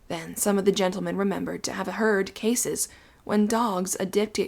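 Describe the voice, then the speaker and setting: The speaker is soft-spoken. The pace is moderate. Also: woman. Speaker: audiobook narrator. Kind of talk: Victorian ghost story narration.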